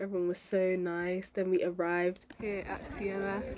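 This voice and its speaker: Upbeat in tone, a woman speaks at a medium pitch. Noticeable background noise is present. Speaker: medical student. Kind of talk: vlog narration.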